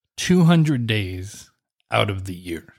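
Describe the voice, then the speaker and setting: Captured in a very clean recording with a silent background, a somewhat breathy, medium-pitched man with an American accent makes very wide pitch swings. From deep South Texas. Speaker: podcast host. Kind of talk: casual chat.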